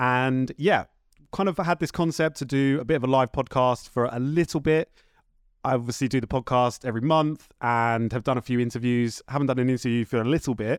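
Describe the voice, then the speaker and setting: Fairly quick in pace, a man talks with a southern English accent and ordinary pitch variation. The sound is dry and close with no echo, on a very clean recording with a silent background. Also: medium pitch for a man. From Horsham, West Sussex, southern England. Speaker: podcast host and label runner. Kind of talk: casual interview chat. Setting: home studio.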